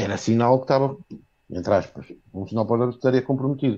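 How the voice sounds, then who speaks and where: Fairly quick in pace, the voice carries a dark, mellow tone. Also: man. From Viana do Castelo, northern Portugal. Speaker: football fan caller. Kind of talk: fan call-in opinion. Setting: video call.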